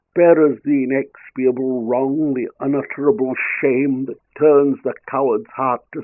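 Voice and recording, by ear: Someone reads aloud in a natural voice, pitch varying in an ordinary way, with a quiet background.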